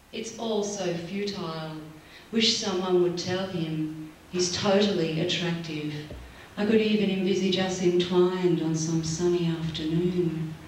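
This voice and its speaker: In a room with audible echo and light background noise, a woman with a fairly low pitch speaks at a fairly slow pace in a playful, animated tone. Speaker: slam poet. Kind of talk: slam poetry performance, rhythmic spoken-word delivery to a live audience. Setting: stage with audience. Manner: animated, sardonic, punchy and rhythmic; builds from wry and playful to grave and emphatic. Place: stage.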